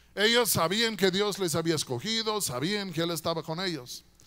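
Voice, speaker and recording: A raised, projected male voice with a bright, sharp tone against a quiet background. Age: 60s. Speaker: guest preacher. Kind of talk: sermon. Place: church. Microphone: handheld.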